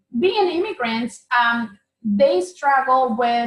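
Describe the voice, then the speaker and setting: A woman with a Spanish accent speaks at a very slow pace in a fairly high pitch. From Mexico (Oaxaca). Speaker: tax preparer, business owner. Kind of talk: interview.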